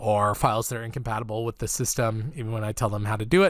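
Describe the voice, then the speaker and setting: Speaking at a very fast pace, a man keeps to a medium pitch. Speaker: art instructor. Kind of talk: tutorial feedback.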